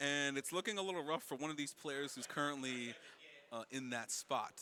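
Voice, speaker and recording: A man speaks loudly with a bright, sharp tone. His pitch is fairly high and his intonation lively. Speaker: esports tournament commentator. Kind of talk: live commentary. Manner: loud, carrying voice.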